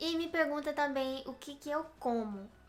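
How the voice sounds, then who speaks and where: Noticeable background noise sits behind a woman with a high-pitched voice. She speaks at a moderate pace with ordinary pitch variation. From Brazil, countryside. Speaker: video blogger. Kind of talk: casual chat.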